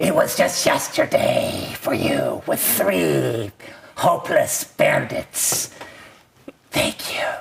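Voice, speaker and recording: A raspy, put-on character voice cackles. It moves at a very slow pace. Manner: strange, taunting.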